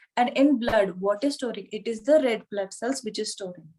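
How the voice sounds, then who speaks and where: This woman speaks with an Indian accent and a fairly high pitch. Her tone is dark and mellow, with ordinary pitch variation. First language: Hindi. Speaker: yoga anatomy teacher. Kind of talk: online lecture.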